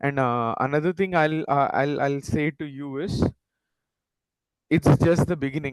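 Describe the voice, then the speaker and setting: Speaking at a fairly slow pace with long, frequent pauses, a man with a Tamil accent uses a fairly high pitch and fairly even intonation over a quiet background. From India, Tamil Nadu (Nagercoil), schooled in Mumbai. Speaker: panelist, career advisor. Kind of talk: panel discussion, career advice. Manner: hesitant, many fillers.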